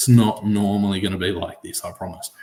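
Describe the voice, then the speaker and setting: A man speaks with an Australian accent at a fairly low pitch, somewhat breathy. His intonation stays monotone and flat. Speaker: sports podcaster. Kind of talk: solo podcast talk. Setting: home recording, late at night. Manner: soft-spoken.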